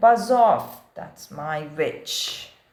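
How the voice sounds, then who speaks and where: This is a put-on character voice. It growls and sounds croaky and shrill. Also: man, extremely high pitch for a man. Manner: menacing, gruff.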